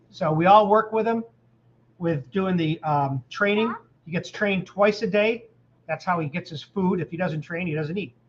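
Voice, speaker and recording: A man speaks with an American accent and a high pitch. His pitch varies in an ordinary way. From New York. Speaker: YouTube car channel host and engine builder. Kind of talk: casual live chat. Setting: home livestream with family. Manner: fast when excited.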